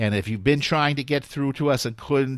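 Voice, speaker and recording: A man with a New York accent is heard on a very clean recording with a silent background. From New York, US. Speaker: talk radio host. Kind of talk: live talk radio show.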